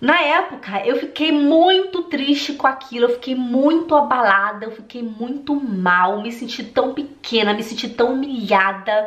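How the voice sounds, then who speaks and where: Noticeable background noise sits under a woman with a high pitch who speaks at a fairly slow pace yet with hardly any pauses. Her tone is animated, her intonation lively, and her loudness swings widely. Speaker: German language coach. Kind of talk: vlog-style direct address to viewers.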